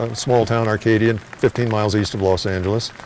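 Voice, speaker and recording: Noticeable background noise is present throughout. A man speaks over it at a fairly quick pace. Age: 70s. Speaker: volunteer. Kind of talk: interview.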